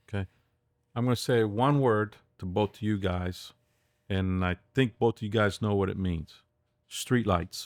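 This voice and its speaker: A man's fairly low voice at a fairly slow pace, with ordinary pitch variation and long, frequent pauses, in a dry, close sound with no echo on a very clean recording with a silent background. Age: 60s. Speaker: podcast co-host. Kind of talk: casual chat.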